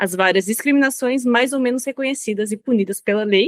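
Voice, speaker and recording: Here is a woman with an unremarkable speaking voice, fairly high in pitch with ordinary pitch variation. The sound is dry and close, with no echo. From Brazil. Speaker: language policy consultant. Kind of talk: interview.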